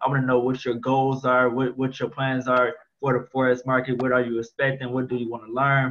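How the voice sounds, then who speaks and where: A man at a fairly quick pace, monotone and flat in intonation. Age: 20s. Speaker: forex trader. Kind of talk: screen-share trading tutorial. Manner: casual, slangy. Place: home room. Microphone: webcam.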